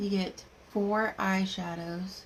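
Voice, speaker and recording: A woman with a medium pitch and a somewhat breathy voice speaks in a monotone, flat intonation. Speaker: makeup seller doing live demo. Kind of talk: live makeup tutorial.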